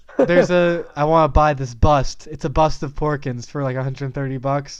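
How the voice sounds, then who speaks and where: A man with an ordinary speaking voice, a fairly high pitch, a moderate pace and fairly even intonation, over a quiet background. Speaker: podcast co-host and movie reviewer. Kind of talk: casual chat. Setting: home studio.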